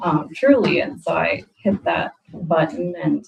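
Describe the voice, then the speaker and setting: A woman speaks with an American accent. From Des Moines, Iowa. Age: 30s. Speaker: council candidate. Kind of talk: self-introduction at council meeting.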